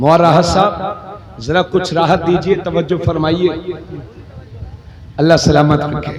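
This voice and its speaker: This man talks in a high voice, leaving long, frequent pauses. Noticeable background noise runs behind him. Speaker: Islamic cleric. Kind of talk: religious sermon. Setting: outdoor religious gathering.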